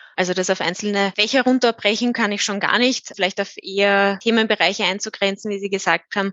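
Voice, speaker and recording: An unremarkable speaking voice goes at a fairly quick pace with fairly even intonation and hardly any pauses. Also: woman, medium pitch for a woman. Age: 20s. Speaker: IT consultant. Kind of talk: interview.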